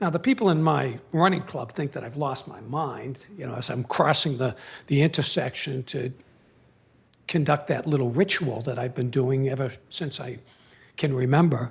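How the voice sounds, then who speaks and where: A man's medium-pitched, somewhat breathy voice with an American accent, ordinary pitch variation, a moderate pace and big swings in loudness, on a very clean recording with a silent background. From Boston area, Massachusetts. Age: 60s. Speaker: retired Marine colonel and former prosecutor. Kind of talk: public talk. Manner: halting, many fillers.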